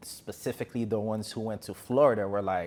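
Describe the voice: Speaking at a fairly quick pace with an American accent, the voice has a slightly mellow tone and fairly even intonation. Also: man, fairly low pitch for a man.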